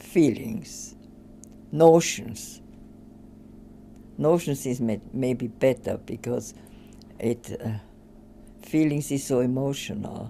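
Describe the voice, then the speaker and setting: With an Austrian accent, a woman speaks at a very slow pace and a very deep, low pitch, with ordinary pitch variation and long, frequent pauses. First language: German. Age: 80s+. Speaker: retired social scientist. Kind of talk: interview. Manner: halting.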